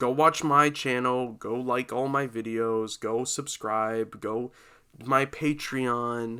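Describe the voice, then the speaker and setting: A man's voice at a medium pitch has a bright, sharp tone and fairly even intonation. The recording is very clean, with a silent background. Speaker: podcast host. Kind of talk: casual solo podcast talk. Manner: sounds depressed in normal speaking voice; rambling, halting.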